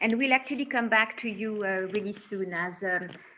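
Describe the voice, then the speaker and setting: A woman speaks at a moderate pace in a medium pitch, her intonation fairly even. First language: French. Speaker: corporate responsibility director, webinar host. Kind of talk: panel moderation. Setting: video call.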